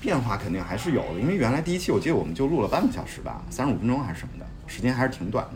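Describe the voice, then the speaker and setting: Talking at a very fast pace, a man with a medium pitch makes very wide pitch swings, heard through noticeable background noise and audible room echo. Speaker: podcast host. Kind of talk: casual chat.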